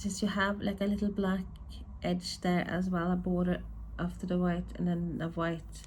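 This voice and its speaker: The woman keeps to a moderate pace. Room echo is audible around her voice. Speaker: tarot deck reviewer. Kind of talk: casual unboxing review. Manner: rambling, hesitant with repetitions.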